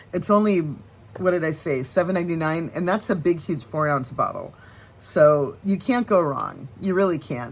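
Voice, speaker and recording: In an American accent, a woman speaks at a moderate pace and fairly low pitch, with a normal speaking voice. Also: lively intonation. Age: 60s. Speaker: nail care vlogger. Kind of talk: casual tutorial. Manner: chatty, with fillers and restarts.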